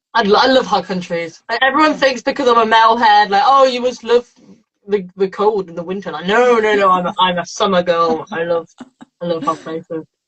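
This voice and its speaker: A woman with an English Midlands accent speaks at a fairly quick pace in a medium pitch, her intonation lively. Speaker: metal band member. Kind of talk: interview. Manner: fast; animated.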